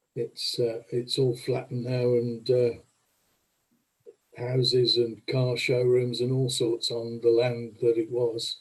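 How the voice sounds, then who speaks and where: Somewhat breathy and monotone, with flat intonation, a man speaks at a very slow pace and medium pitch. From Birmingham, England. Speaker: committee member. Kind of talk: casual chat.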